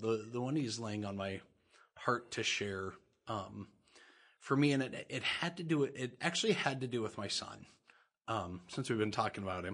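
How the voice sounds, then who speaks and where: A man with an ordinary speaking voice, fairly low pitch, lively intonation and a moderate pace, over a quiet background. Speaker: guest sharing personal faith stories. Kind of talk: casual conversational interview.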